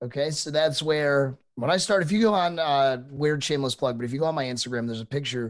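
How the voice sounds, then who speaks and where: Over a silent background in a very clean recording, a man talks with a fairly high pitch and ordinary pitch variation. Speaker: podcast co-host and streamer. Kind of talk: casual chat. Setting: live stream podcast. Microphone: cheap USB condenser mic.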